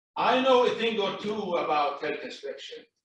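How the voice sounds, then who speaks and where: A loud man at a moderate pace. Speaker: property owner at hearing. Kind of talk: public hearing testimony. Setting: city plan commission meeting.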